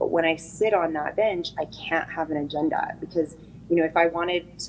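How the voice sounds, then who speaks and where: A woman's fairly low voice at a fairly quick pace. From eastern Oregon, US. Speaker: prosecutor and judicial candidate. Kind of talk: interview. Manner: fast.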